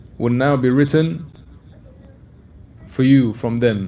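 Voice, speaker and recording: With audible room echo, a man talks in a dark, mellow tone. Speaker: Islamic scholar answering questions. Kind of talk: religious lecture Q&A. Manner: fast.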